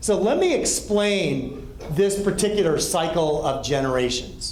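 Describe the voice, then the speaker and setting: Lively intonation comes through in an American accent, with audible room echo and noticeable background noise. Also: man. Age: 60s. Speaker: pastor and counseling director. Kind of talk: talk to a group.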